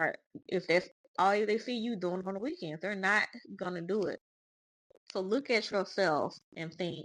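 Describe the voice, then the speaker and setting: In a Southern US accent, a woman of medium pitch speaks at a moderate pace with ordinary pitch variation and long, frequent pauses. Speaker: spiritual podcast host. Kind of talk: casual monologue. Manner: halting, with fillers.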